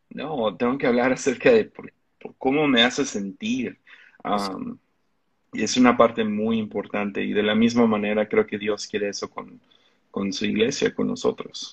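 This man talks at a moderate pace, and his loudness rises and falls sharply. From Mexico. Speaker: pastor. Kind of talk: interview conversation.

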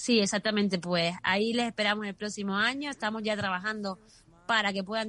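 A woman talks fairly quickly in a bright, sharp tone. Her intonation stays fairly even. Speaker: race communications director. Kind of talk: radio interview.

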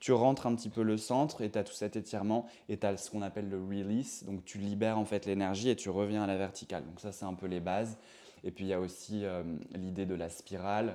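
With a dark, mellow tone and fairly low pitch, a man talks at a fairly quick pace and fairly even intonation on a very clean recording with a silent background. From Brittany, France. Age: 30s. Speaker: professional dancer. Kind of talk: interview. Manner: hesitant, many fillers.

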